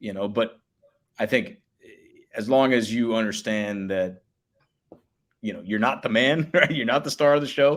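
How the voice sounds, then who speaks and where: Long pauses come frequently as a man talks at a moderate rate. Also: medium pitch for a man, ordinary pitch variation. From Miami, Florida. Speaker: public address announcer. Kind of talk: casual chat.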